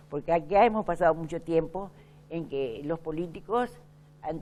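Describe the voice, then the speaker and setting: Against a quiet background, a woman speaks with a very deep, low pitch, a dark, mellow tone and ordinary pitch variation. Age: 80s+. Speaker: veteran politician. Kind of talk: interview.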